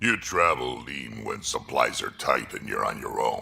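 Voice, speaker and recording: A man's growling, put-on character voice at a moderate pace. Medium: video game. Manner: gruff, blunt.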